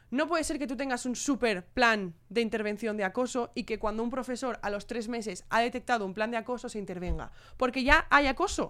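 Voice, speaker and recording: The recording is very clean, with a silent background. A woman with a high pitch speaks at a fairly quick pace with ordinary pitch variation. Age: 20s. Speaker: youth council president, co-host. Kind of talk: casual chat.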